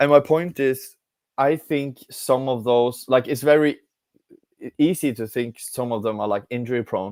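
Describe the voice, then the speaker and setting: A man with a non-native accent is heard in a dry, close sound with no echo. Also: medium pitch for a man, ordinary pitch variation, moderate pace. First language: not English. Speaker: football fan pundit. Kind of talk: casual football discussion. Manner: halting.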